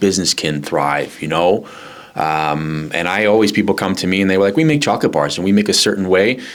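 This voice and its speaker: The man's voice sits very deep and low. He talks fairly quickly. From New York area, north of New York City. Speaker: chocolatier, small business owner. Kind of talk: podcast interview. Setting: recorded at a market venue. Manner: casual, with many fillers and repetitions.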